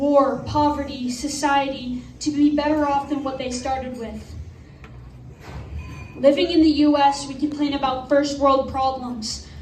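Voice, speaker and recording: Noticeable background noise surrounds a woman speaking in a high pitch. Her delivery is fairly slow and monotone, with flat intonation. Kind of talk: slam poetry performance.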